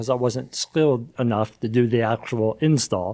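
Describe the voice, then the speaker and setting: In an American accent, a man speaks at a medium pitch with ordinary pitch variation. His tone is dark and mellow. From Baltimore, Maryland, US. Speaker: HVAC manufacturer regional manager. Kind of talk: podcast interview. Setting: studio.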